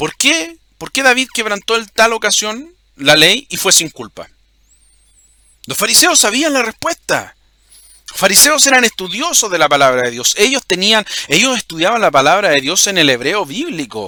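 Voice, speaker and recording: A man projects a raised voice at a high pitch, swinging very widely in pitch at a moderate pace, in a dry, close sound with no echo. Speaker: religious video host. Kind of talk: bible teaching monologue. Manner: halting, repeats words.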